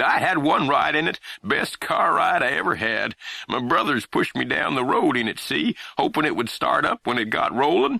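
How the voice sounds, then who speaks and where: In a put-on character voice, a man rumbles along at a moderate pace with very even loudness, and the sound is dry and close with no echo. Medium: read story. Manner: grumbling, folksy, ungrammatical.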